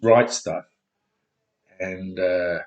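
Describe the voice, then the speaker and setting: A man speaks with an Australian accent. His voice is somewhat breathy. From Australia (Elizabeth, South Australia). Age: 60s. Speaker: vlogger. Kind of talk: personal video message. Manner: halting.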